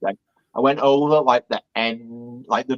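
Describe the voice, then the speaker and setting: A man with a British accent speaks fairly slowly in a flat monotone, with a dry, close sound and no echo. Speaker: Disney vlogger. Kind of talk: interview answer.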